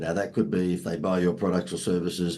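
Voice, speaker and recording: A man's dark, mellow voice, very deep and low in pitch, with an Australian accent. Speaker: marketing expert. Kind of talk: podcast interview.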